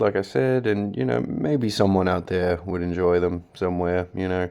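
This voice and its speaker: Against a quiet background, a man with a very deep, low voice and a dark, mellow tone speaks at a moderate pace. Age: 20s. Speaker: amateur poet. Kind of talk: casual talk to camera. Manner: halting.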